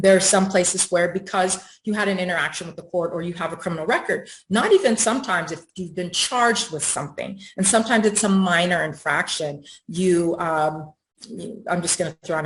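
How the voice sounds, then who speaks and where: A somewhat breathy woman's voice, fairly low in pitch, at a fairly quick pace with ordinary pitch variation. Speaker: housing advocate panelist. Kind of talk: panel presentation. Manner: fast; hesitant, many fillers.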